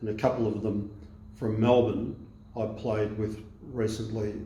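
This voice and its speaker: A man speaks with an Australian accent at a fairly slow pace. His fairly low voice stays monotone and flat. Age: 70s. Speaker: masters basketball player. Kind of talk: interview answer. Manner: casual, hesitant.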